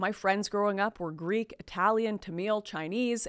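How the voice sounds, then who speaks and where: A woman with a Canadian accent speaks at a moderate pace in an animated tone. The background is quiet. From Canada. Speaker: commentator. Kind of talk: opinionated monologue to camera. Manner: animated, sarcastic. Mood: indignant, critical. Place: studio. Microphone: studio mic.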